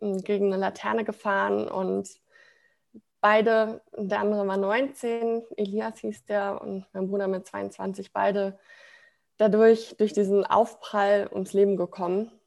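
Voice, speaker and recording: A woman speaks at a very slow pace. Her intonation stays flat and monotone. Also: medium pitch for a woman. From Ruhr area, Germany (Sprockhövel near Bochum). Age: 20s. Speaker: branding consultant, self-employed. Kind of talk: personal testimony in interview.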